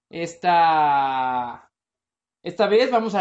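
A man with a high voice speaks with a Mexican accent. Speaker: podcast co-host. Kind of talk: casual chat.

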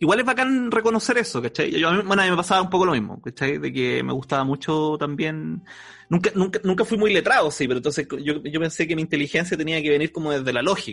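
A man's very fast delivery at a fairly high pitch, with lively intonation. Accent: Chilean. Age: 30s. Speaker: podcast host. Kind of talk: casual chat.

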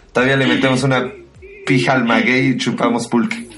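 A man talking at a fairly quick pace with lively intonation, amid noticeable background noise and audible room echo. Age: 30s. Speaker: podcast co-host. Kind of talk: casual chat.

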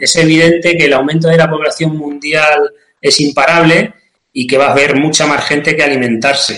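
Bright and sharp in tone, a man's fairly high-pitched voice keeps a very even loudness. He speaks at a moderate pace with fairly even intonation. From Spain, Cuenca (Castilla-La Mancha). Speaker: nursery sales representative, agronomy. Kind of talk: interview. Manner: halting, repeats words.

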